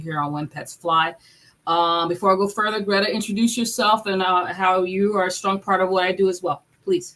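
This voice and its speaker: A woman with a plain, everyday voice at medium pitch talks at a fairly quick pace with fairly even intonation. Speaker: veterinarian and podcast host. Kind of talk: casual chat.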